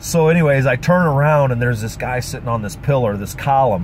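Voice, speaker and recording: The recording carries audible room echo and noticeable background noise as a man talks at a fairly quick pace. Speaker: pastor and street preacher. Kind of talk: testimony. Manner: animated.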